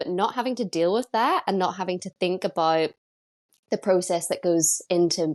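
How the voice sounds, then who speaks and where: A woman with a Northern Irish accent speaks over a quiet background. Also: dry, close sound with no echo. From Northern Ireland. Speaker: vegan content creator. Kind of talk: casual interview chat. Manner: animated.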